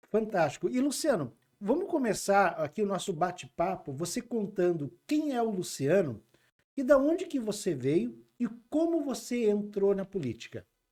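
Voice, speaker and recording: Pitched high with very wide pitch swings, a man speaks at a moderate pace in a dark, mellow tone. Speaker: podcast host. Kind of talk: interview. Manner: casual.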